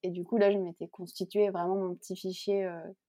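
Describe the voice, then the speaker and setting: This woman's voice sits at a medium pitch, with a dark, mellow tone and a dry, close sound with no echo. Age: 20s. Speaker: illustrator. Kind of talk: interview. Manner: hesitant, many fillers.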